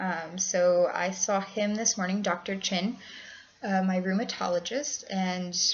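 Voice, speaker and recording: A woman's voice at a fairly slow pace, with fairly even intonation and noticeable background noise. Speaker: vlogger with lupus. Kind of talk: casual vlog. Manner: hesitant, many fillers.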